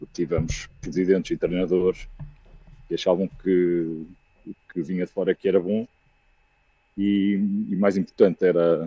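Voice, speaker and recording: With a dark, mellow tone and flat, monotone intonation, the speaker goes at a moderate pace with long, frequent pauses and big swings in loudness, the sound dry and close with no echo. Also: man, very deep, low pitch for a man. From Aveiro, Portugal. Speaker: football fan caller. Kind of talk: fan call-in opinion. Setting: video call.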